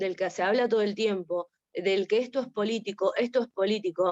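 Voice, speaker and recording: Here is a woman with a plain, everyday voice. Her fairly high pitch shows ordinary variation at a moderate pace. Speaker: seminar participant. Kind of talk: discussion in online seminar.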